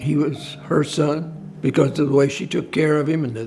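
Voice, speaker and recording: A man's fairly high voice at a moderate pace, with fairly even intonation and music in the background. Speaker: father of late client. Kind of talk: interview answer.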